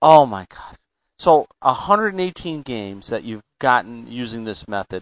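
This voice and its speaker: A man's medium-pitched voice at a moderate pace, with very wide pitch swings and big swings in loudness. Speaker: podcast host. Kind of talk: casual interview. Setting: phone call.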